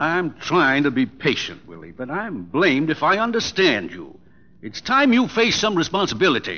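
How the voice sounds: A man's put-on character voice, fairly high in pitch, bright and sharp in tone, with very wide pitch swings at a moderate pace.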